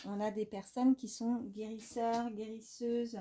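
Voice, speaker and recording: Her voice sits at a fairly high pitch, and this woman has a dark, mellow tone. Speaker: tarot card reader. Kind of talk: tarot reading. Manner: halting, many fillers.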